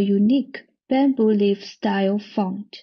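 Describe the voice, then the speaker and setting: The voice is somewhat breathy, with a Chinese accent. Its intonation stays fairly even. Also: woman. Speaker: art and design researcher. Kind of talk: recorded conference presentation.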